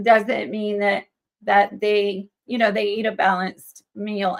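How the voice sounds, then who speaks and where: In an American accent, a woman with a normal speaking voice talks at a fairly slow pace in a medium pitch. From US South (Georgia and Alabama). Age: 60s. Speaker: chef and cookbook author. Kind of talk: interview.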